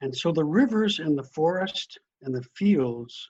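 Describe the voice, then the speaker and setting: A man with an American accent speaks at a very slow pace in a somewhat breathy voice, recorded dry and close with no echo. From US Midwest, northern Wisconsin. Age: 80s+. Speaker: priest. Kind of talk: interview.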